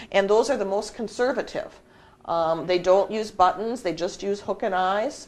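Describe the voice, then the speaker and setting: A woman speaks with an Upper Midwest accent and ordinary pitch variation. The background is quiet. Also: medium pitch for a woman, moderate pace. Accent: Upper Midwest American. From US Midwest, southern Minnesota. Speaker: mystery writer. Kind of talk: interview.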